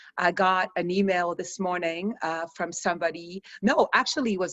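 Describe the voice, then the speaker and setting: Here a woman speaks at a fairly slow pace. Her pitch is medium. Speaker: stress reduction coach. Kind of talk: online course session. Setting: video call. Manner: slow, calm.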